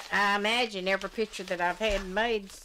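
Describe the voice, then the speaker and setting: A woman speaks at a moderate pace in a Southern US accent. Background noise is noticeable. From US South. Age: 80s+. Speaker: retired mill worker; interviewee. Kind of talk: oral history interview. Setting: at her home. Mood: calm, reminiscing. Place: home room.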